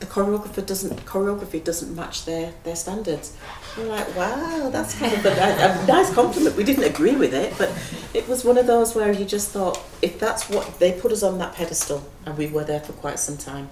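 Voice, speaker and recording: In a northern English accent, a woman of medium pitch speaks at a moderate pace with lively intonation and big swings in loudness, amid audible room echo and noticeable background noise. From northern England, Leeds. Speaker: dancer and choreographer, head of a dance school. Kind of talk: interview conversation. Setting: stage with audience in a gallery.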